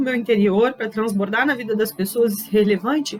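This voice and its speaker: A woman is heard over noticeable background noise. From southern Brazil, Pelotas, Rio Grande do Sul. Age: 30s. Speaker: leadership speaker. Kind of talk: personal testimony talk.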